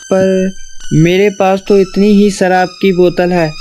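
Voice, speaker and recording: Clear background noise sits behind a cartoonish character voice at middle pitch, delivered at a moderate pace with monotone, flat intonation. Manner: scared, pleading.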